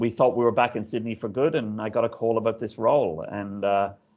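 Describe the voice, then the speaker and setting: A man talks at a moderate pace in an Irish accent. His fairly low voice sits over a quiet background. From Ireland. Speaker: stadium CEO. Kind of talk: interview. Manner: hesitant, many fillers.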